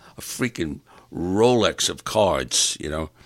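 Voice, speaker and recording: A man speaks with vocal fry. His pitch swings very widely. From New York. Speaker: podcast host. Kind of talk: solo rant monologue. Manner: animated.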